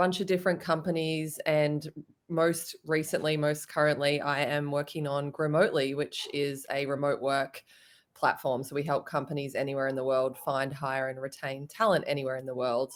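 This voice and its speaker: This woman has an Australian accent and a very deep, low pitch. She speaks at a moderate pace with fairly even intonation. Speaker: startup founder. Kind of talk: panel discussion.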